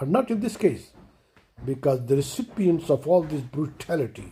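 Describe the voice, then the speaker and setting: With a dark, mellow tone and vocal fry, a man talks at a fairly high pitch and moderate pace, his pitch swinging very widely. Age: 70s. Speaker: commentator, retired financial controller. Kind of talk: impassioned monologue. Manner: emotional, impassioned.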